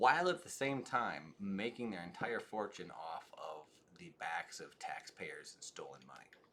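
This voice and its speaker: There is noticeable background noise as a man talks with big swings in loudness. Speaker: political streamer. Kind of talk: live stream commentary and chat. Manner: fast; animated.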